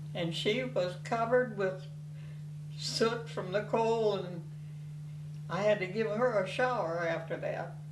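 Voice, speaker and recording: Amid noticeable background noise and audible room echo, a woman speaks at medium pitch and a fairly slow pace, with lively intonation and long, frequent pauses. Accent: Midwestern US. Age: 90s. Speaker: grandmother. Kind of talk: oral history interview. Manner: halting.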